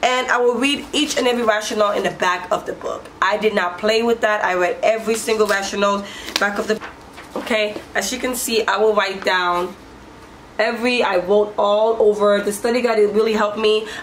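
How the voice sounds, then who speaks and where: Over noticeable background noise, a woman talks at a fairly quick pace with a fairly high pitch and fairly even intonation. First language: not English. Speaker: nurse and motivational vlogger. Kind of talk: casual vlog advice. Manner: halting, many restarts.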